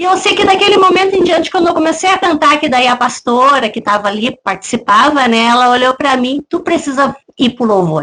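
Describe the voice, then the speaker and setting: A woman with a southern Brazilian accent speaks at a high pitch and fairly quick pace, her pitch swinging very widely with hardly any pauses. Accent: gaúcho Brazilian Portuguese. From southern Brazil, Rio Grande do Sul. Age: 40s. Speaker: church deaconess and worship singer. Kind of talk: testimony interview.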